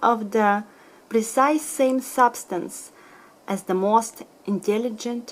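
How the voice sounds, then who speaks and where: A woman speaks with a Russian accent in a high voice. Her pitch varies in an ordinary way. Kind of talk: bedtime story reading. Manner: soft-spoken.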